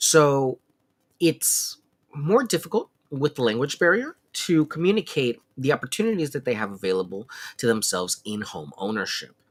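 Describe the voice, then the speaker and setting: Loud speech at a moderate pace with very wide pitch swings, in a dry, close sound with no echo. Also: man, fairly high pitch for a man. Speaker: realtor. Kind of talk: live Q&A stream. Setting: livestream with chat. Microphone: no microphone, room sound.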